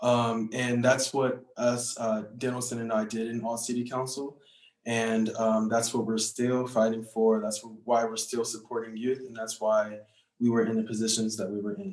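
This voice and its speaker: Speaking in a monotone, flat intonation, a man keeps a medium pitch and moderate pace. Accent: American. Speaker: youth activist, former student council member. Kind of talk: panel discussion. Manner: casual, many fillers (um, you know).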